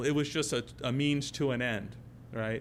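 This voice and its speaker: Pitch variation is ordinary. Room echo can be heard. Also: man. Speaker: technology company presenter. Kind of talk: conference presentation. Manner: fast.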